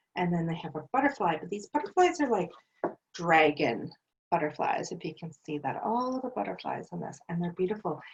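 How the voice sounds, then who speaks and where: The voice is somewhat breathy, with very wide pitch swings. Its loudness also swings a lot. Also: woman. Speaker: tarot card reader. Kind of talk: intuitive card reading. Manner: casual, hesitant with fillers.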